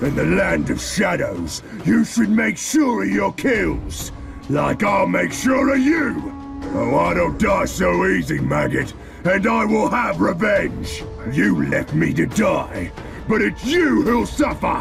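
Clear music plays in the background. The speech moves at a fairly slow pace. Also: man. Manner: snarling, aggressive.

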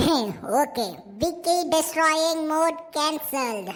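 A female-sounding, squeaky cartoonish character voice pitched extremely high. It moves at a very slow pace. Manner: robotic mode announcements, gloating laughs.

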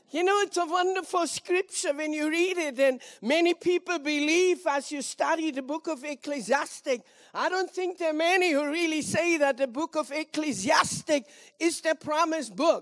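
A woman with an extremely high pitch and ordinary pitch variation, against a quiet background. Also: moderate pace. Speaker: speaker. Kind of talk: prayer then sermon. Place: stage. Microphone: handheld.

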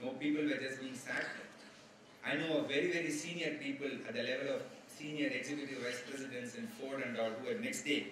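Over light background noise and audible room echo, the speaker talks at a fairly quick pace with ordinary pitch variation. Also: man. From India. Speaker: HR executive. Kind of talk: lecture. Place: hall. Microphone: podium.

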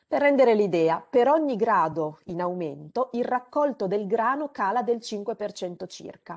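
Against a quiet background, a woman with an ordinary speaking voice and a fairly high pitch talks at a fairly slow pace with lively intonation and hardly any pauses. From Romagna, Italy (Rimini); Romagna, Italy. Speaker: climate scientist; webinar presenter. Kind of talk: lecture. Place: home room. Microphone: video call.

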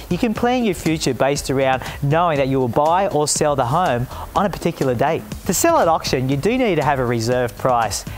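A man with an Australian accent, fairly high pitch, lively intonation and very even loudness, over faint music in the background. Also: fairly quick pace. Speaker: auctioneer and TV presenter. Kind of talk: informative corporate presenter talk with tips for buying and selling at auction. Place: garden. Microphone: lapel.

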